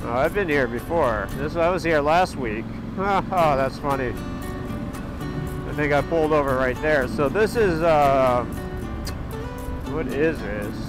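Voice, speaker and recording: Clear music sounds in the background while a man speaks with ordinary pitch variation and long, frequent pauses, the sound dry with no echo. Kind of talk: casual vlog chat. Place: motorbike. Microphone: helmet.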